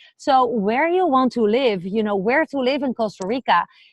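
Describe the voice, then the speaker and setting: A woman with a Dutch accent and lively intonation. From Netherlands. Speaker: vlogger. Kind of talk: casual vlog talk to camera. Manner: hesitant with fillers.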